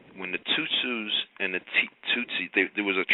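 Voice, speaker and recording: A man is speaking here. His pace is moderate. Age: 60s. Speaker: caller. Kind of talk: testimony. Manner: halting.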